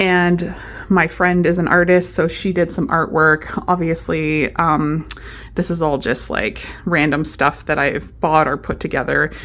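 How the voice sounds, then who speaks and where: Her very deep, low voice carries vocal fry as the woman speaks fairly slowly with fairly even intonation. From Canada. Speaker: vlogger. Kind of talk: casual vlog talk. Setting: at home. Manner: normal speaking voice, not whispering; hesitant, many fillers.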